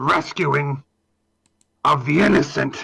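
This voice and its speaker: Music plays in the background as a man does a put-on character voice. It is raspy and fairly high in pitch. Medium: actual play. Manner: halting, growly, earnestly self-righteous.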